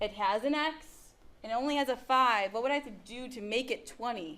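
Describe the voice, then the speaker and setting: A woman's bright, sharp voice, fairly high in pitch, at a moderate pace. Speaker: math teacher. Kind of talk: classroom lecture. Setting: classroom with students.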